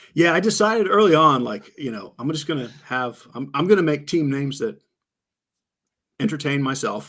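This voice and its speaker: Lively intonation marks this man's speech at a fairly high pitch. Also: moderate pace. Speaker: fantasy sports player. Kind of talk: interview. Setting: podcast. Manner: soft-spoken; quiet.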